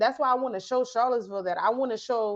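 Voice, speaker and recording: A woman speaks in a high voice with an American accent. The background is quiet. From South Carolina Lowcountry, Georgetown County. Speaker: photojournalist. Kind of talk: interview.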